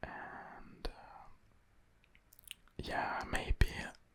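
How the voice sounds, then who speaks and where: A whispered voice with a French accent. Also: man. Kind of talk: ASMR chit-chat.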